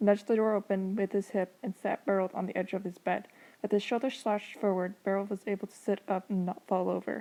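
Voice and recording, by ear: Here someone is reading aloud in a natural voice.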